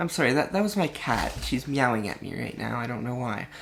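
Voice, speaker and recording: A woman is heard over noticeable background noise. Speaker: vlogger. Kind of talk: casual vlog monologue. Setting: home, alone with cat. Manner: halting, many fillers and restarts; voice fluctuating, practicing feminized pitch.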